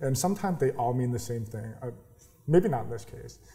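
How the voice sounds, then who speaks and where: The man's voice is dark, mellow and somewhat breathy. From New York. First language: sign language. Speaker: startup accelerator founder. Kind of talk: interview. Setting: incubator office.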